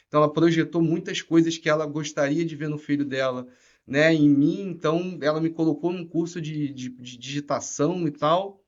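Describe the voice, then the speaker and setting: Delivered at a moderate pace in a Rio de Janeiro accent, the speech has a monotone, flat intonation. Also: man, fairly high pitch for a man. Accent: Rio de Janeiro (carioca). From Rio de Janeiro, Niterói. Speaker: tech executive. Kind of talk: podcast interview. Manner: casual, filler-heavy.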